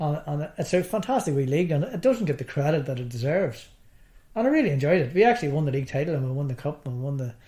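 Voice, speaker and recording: Very fast and somewhat breathy, a man with a Northern Irish accent talks at a fairly high pitch in a dark, mellow tone with lively intonation. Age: 60s. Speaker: darts player, cancer survivor. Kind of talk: interview. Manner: halting.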